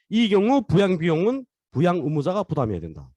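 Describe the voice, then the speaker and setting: A man talks in a high voice. His pitch swings very widely. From North Korea. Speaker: lecturer. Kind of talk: online lecture. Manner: fast.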